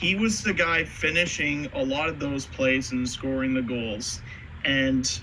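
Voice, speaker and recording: Over noticeable background noise, a man talks with a fairly high pitch and ordinary pitch variation. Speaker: podcast host. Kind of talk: casual sports podcast discussion.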